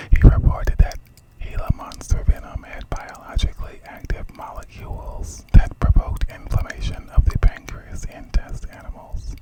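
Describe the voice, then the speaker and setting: A whisper proceeds at a moderate pace with noticeable background noise behind it. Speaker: ASMR creator. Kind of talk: reading aloud. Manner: whispering.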